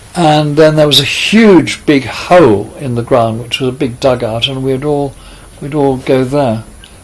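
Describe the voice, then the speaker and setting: The speaker keeps a moderate pace with fairly even intonation. Noticeable background noise runs underneath. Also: man. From southern England, Kent (Tunbridge Wells). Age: 80s+. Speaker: author. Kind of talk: interview. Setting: in person in London.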